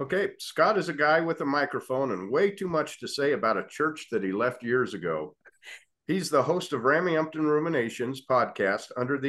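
A man's fairly high voice with vocal fry and lively intonation, at a fairly quick pace. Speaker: podcast co-host. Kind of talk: interview conversation.

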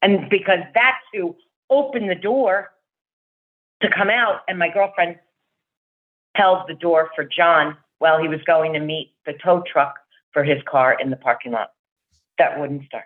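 A woman with a New Jersey accent, lively intonation, a fairly slow pace, and long, frequent pauses. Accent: New Jersey American. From New Jersey, US. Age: 60s. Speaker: rock band fan. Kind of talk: casual interview chat.

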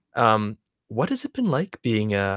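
In a normal speaking voice, a man with a Canadian accent talks at a moderate pace and a fairly low pitch. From Morinville, Alberta, Canada. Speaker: podcast host. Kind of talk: casual interview chat.

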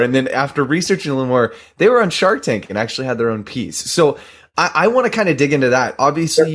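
In an American accent, a man with a fairly high pitch speaks in an enthusiastic, upbeat tone with very wide pitch swings, captured on a very clean recording with a silent background. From Southern California. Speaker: podcast host. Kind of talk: casual interview.

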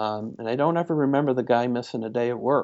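In a plain, everyday voice, a man with an American accent speaks at a medium pitch and a fairly quick pace, keeping his intonation fairly even. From upstate New York, Syracuse area. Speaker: family physician. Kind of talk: interview.

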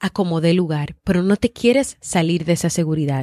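A woman speaks at a fairly slow pace in a dark, mellow tone, recorded dry and close with no echo, very clean, against a silent background. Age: 30s. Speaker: podcast host and psychologist. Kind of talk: motivational podcast monologue.

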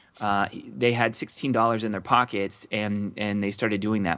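This very clean recording has a silent background. A man with a bright, sharp tone speaks at a medium pitch and a moderate pace. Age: 30s. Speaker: entrepreneur. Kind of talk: interview.

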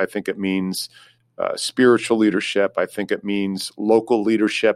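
A man talks at a moderate pace in a dry, close sound with no echo, on a very clean recording with a silent background. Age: 50s. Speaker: career advisor. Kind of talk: interview.

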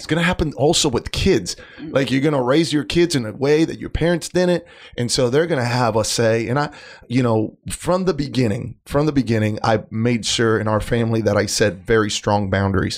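Lively intonation at a fairly quick pace. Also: man. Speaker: husband of a co-host. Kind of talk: casual chat. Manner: self-described poor conversationalist.

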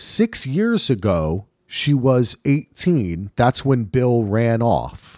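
Very slowly and with lively intonation, a man speaks at a medium pitch and very even loudness, in a dry, close sound with no echo and a very clean recording against a silent background. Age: 50s. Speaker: podcast co-host. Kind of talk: casual chat.

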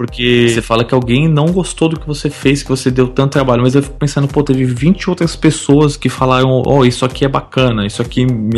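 Pausing hardly at all, a man talks at a fairly quick pace. His pitch is medium, with ordinary variation. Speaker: travel podcaster. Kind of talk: casual chat.

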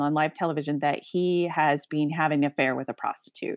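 On a very clean recording with a silent background and a dry, close sound with no echo, a woman talks with an American accent. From outside the US (another country). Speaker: cosplayer, podcast guest. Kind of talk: casual chat. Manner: animated.

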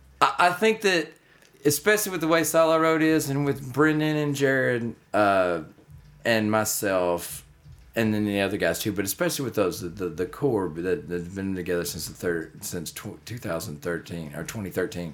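With a Texas accent, a man speaks at a moderate pace and medium pitch, his voice moving in very wide pitch swings. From North Texas (Denison area). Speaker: country musician and songwriter. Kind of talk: casual interview. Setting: on-location recording at a music venue.

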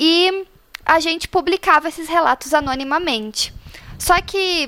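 At a fairly slow pace, a woman uses a raised, projected voice with a bright, sharp tone and ordinary pitch variation. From Paraná, Brazil. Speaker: graphic designer, faith project organizer. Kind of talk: casual chat.

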